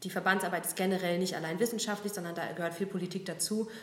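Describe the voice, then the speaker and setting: A woman's medium-pitched voice at a very fast pace, with audible room echo and noticeable background noise. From Berlin. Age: 30s. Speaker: business association communications head. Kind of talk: casual interview.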